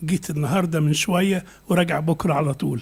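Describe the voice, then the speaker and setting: This man speaks at a high pitch. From Egypt. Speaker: bishop. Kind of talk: conference speech. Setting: conference.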